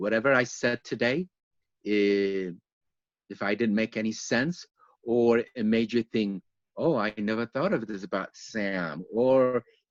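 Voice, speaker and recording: Recorded with a dry, close sound and no echo, a man speaks with a non-native accent. He keeps a moderate pace and a medium pitch. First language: not English. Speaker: yoga teacher. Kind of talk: interview. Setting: online live stream.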